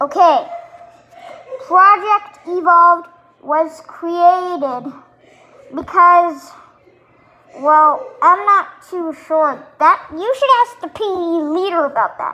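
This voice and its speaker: Putting on a character voice, a woman speaks at an extremely high pitch with lively intonation, moving at a very slow pace with long, frequent pauses. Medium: solo performance. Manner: impatient, complaining.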